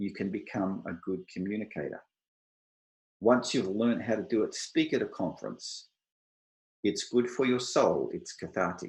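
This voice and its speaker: Speaking at a moderate pace, a man with an Australian accent leaves long, frequent pauses. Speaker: IT software architect, panelist. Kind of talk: online panel presentation. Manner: clear.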